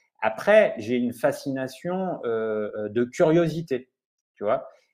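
A man speaks very slowly with lively intonation against a quiet background. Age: 40s. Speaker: investigative journalist. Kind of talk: interview. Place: home room. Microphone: earbuds.

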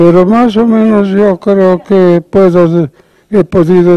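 Speaking at a very slow pace, a man uses a high pitch. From Cajamarca, Peru. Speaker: painter. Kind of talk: interview answer. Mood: playful, humorous. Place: hall. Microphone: handheld.

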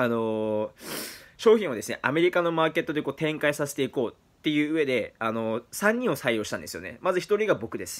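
A man speaks with a fairly high pitch and a fairly quick pace. His pitch swings very widely, and his loudness rises and falls a lot. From Japan, Fukuoka; Japan. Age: 20s. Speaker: vlogger. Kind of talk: monologue to camera. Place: home room. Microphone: phone near.

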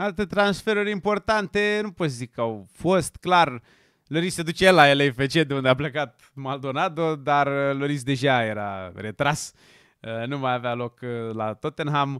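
Over a quiet background, a man with a fairly high pitch speaks at a fairly slow pace in an animated tone with lively intonation, the sound dry with no echo. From Romania. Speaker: football YouTuber. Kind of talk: casual video commentary; casual commentary. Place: studio. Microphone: studio mic.

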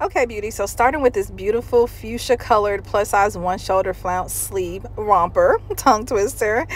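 With music playing behind her, a woman talks at a moderate pace with hardly any pauses and ordinary pitch variation, the sound dry with no echo. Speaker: fashion vlogger. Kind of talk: try-on haul commentary. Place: home room.

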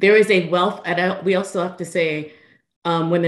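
Against a quiet background, a woman with an American accent talks fairly quickly in an unremarkable speaking voice with fairly even intonation. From Philadelphia, US. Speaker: art conservator and educator; educator. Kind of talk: panel discussion. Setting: video call. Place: home room. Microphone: webcam.

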